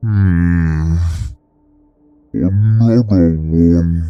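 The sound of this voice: A man puts on a character voice, very deep and low, with ordinary pitch variation. Faint music plays in the background.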